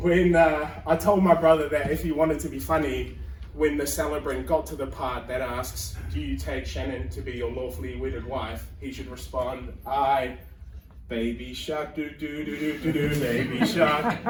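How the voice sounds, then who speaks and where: A man in a New Zealand accent talks at a moderate pace, with audible room echo. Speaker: stand-up comedian. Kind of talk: stand-up. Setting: stage with audience.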